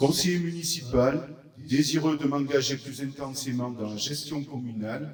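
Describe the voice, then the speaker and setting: Amid noticeable background noise and audible room echo, a man with a fairly high voice talks at a fairly slow pace, his intonation fairly even but his loudness swinging widely. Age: 60s. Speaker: municipal councillor. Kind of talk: campaign speech. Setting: public meeting.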